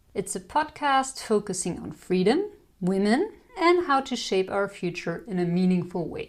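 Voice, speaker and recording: Her pitch swings very widely as a woman talks, somewhat breathy, at a moderate pace. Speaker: podcast host. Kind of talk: podcast intro.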